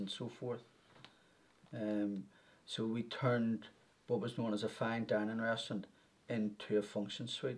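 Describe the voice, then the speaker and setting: In a dark, mellow tone, a man speaks at a fairly slow pace with monotone, flat intonation. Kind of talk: interview answer. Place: office.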